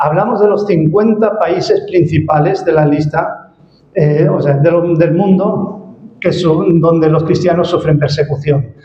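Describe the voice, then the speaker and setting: Over noticeable background noise, a man talks at a fairly slow pace. His pitch is high and his intonation fairly even. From Spain. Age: 60s. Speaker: ministry director, guest speaker. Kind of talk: church presentation. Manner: hesitant, many fillers.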